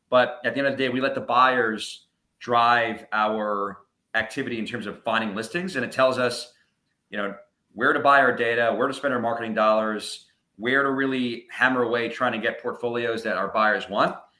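A man with an American accent talks in a normal speaking voice at medium pitch. His intonation is fairly even and his pace moderate. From New York suburbs. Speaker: real estate portfolio broker, company owner. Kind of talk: casual interview chat.

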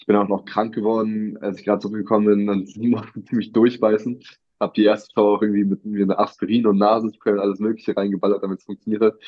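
A man rattles along at a very fast pace in a monotone, flat delivery, his loudness swinging widely. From Berlin, Germany. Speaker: singer-songwriter. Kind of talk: interview. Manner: casual.

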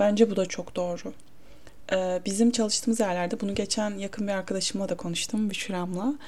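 Here a woman speaks at a fairly quick pace in a somewhat breathy voice. Her intonation stays fairly even. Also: medium pitch for a woman. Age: 20s. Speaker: solo podcaster. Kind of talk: casual monologue. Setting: home, her bedroom. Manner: casual, self-interrupting.

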